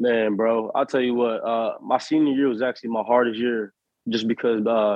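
Monotone and flat in intonation, a man talks at medium pitch and a moderate pace. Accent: American. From Harrisburg, Pennsylvania. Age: 20s. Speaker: professional football player. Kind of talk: casual interview chat.

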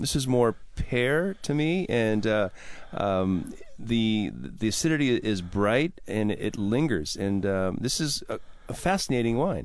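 At a fairly slow pace, a man with a medium pitch makes very wide pitch swings while keeping very even loudness. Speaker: radio host and sommelier. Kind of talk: radio talk show. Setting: studio. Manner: animated.

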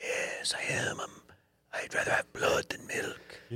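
This is a put-on character voice with a Transylvanian accent, raspy and extremely high in pitch. The delivery moves at a fairly slow pace.

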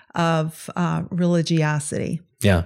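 Recorded very cleanly against a silent background, a woman talks in a Southern US accent at a fairly low pitch. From US South, Mississippi. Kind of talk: testimony.

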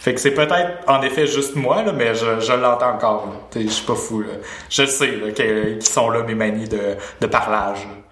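Noticeable background noise sits behind a man speaking at a fairly slow pace. His medium-pitched voice has ordinary pitch variation. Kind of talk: casual chat. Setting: video call.

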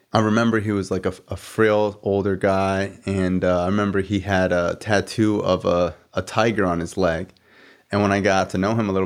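In an ordinary speaking voice with an American accent, a man talks at a fairly low pitch with fairly even intonation against a quiet background. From South Florida. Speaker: podcast host. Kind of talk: casual chat.

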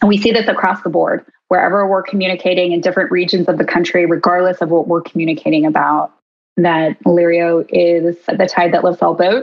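Speaking at a fairly quick pace with very even loudness, a woman uses an unremarkable speaking voice pitched fairly low. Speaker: behavioral scientist. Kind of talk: interview conversation. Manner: articulate, professional.

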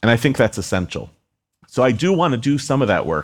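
A man with an ordinary speaking voice talks at a fairly quick pace with lively intonation. The recording is very clean, with a silent background. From United States, partly raised in Egypt and Israel. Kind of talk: live onstage interview. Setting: stage with audience.

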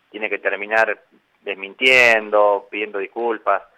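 A man speaks at a fairly slow pace and a medium pitch. It's a normal speaking voice. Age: 50s. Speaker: politician, mayor-elect and physician. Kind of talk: radio interview.

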